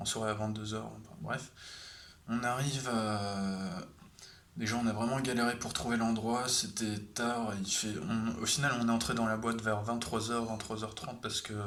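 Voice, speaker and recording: A man speaks at a moderate pace with a medium pitch and fairly even intonation, over noticeable background noise and audible room echo. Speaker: vlogger. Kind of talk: casual storytelling vlog. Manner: halting, many fillers.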